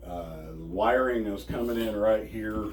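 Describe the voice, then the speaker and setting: A man speaks amid audible room echo. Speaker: DIY camper owner. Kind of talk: tutorial. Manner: soft-spoken.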